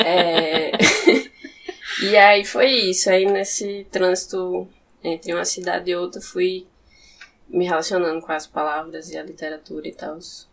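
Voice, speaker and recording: Fairly even intonation comes at a moderate pace over noticeable background noise. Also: woman. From interior of Rio Grande do Norte, Brazil. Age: 20s. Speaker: poet and philosophy student. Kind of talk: podcast interview.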